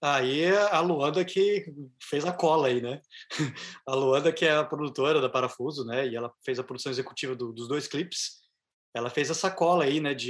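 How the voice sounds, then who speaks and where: Speaking at a moderate pace with a Brazilian accent, a man has a fairly high pitch and ordinary pitch variation. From southern Brazil. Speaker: band musician. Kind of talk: casual interview. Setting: video call.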